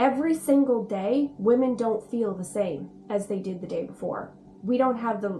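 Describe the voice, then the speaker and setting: A speaker with a Canadian accent talks at a fairly slow pace with ordinary pitch variation, music playing in the background. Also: woman. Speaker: spiritual guide and video host. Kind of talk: casual talk-to-camera explainer.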